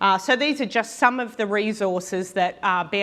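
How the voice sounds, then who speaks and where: With an Australian accent, a woman talks at a moderate pace with ordinary pitch variation. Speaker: mining industry technology leader. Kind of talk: conference talk. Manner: many fillers (um, uh).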